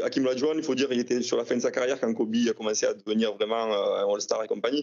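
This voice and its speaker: A man talks at a very fast pace. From France. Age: 50s. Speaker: trading card collector. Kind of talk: interview.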